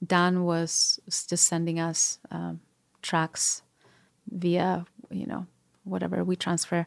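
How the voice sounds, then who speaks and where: A woman with a fairly low pitch speaks very slowly in a Spanish accent with fairly even intonation and long, frequent pauses, the sound dry and close with no echo on a very clean recording with a silent background. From Spain, Madrid area. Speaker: singer-songwriter and producer. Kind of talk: interview.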